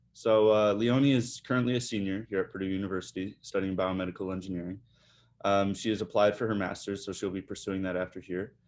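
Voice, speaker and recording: Speaking very fast, a man with a Midwestern accent keeps a fairly low pitch and fairly even intonation. The background is quiet. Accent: Midwest US. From Michigan, Detroit area. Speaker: podcast host. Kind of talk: interview.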